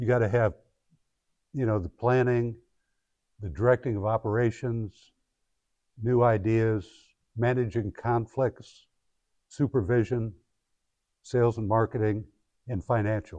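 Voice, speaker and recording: Close and dry with no echo over a quiet background, a dark, mellow voice with an American accent moves at a fairly slow pace with fairly even intonation and long, frequent pauses. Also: man, medium pitch for a man. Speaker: guest speaker and founder. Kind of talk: guest lecture to a class. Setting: classroom with students. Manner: halting, conversational, with fillers.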